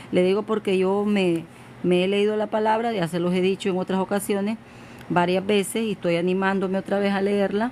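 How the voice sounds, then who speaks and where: The delivery moves at a fairly quick pace with very even loudness. Intonation stays monotone and flat. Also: woman, medium pitch for a woman. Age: old. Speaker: evangelist preacher. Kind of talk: sermon. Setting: social media livestream.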